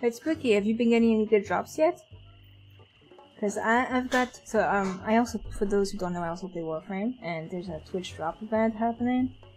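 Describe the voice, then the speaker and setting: A woman with a fairly high pitch talks at a fairly quick pace while music plays in the background. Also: ordinary pitch variation. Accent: European. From Europe. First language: a European language, not English. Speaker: streamer. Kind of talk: casual chat. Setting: livestream. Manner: unusual way of speaking.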